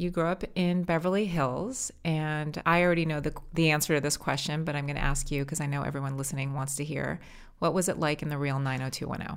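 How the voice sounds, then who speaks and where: A woman's very deep, low voice with an American accent and ordinary pitch variation, in a very clean recording with a silent background. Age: 40s. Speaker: podcast host, company founder. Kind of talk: interview.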